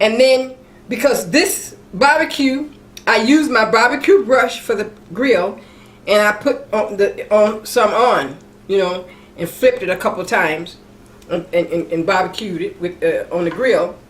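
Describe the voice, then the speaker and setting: Over noticeable background noise, a woman with an American accent speaks at a fairly slow pace in a fairly high voice with lively intonation. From Mississippi, US South. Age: 70s. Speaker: cooking channel host. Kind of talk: cooking tutorial with personal stories. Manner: casual, repetitive with frequent restarts.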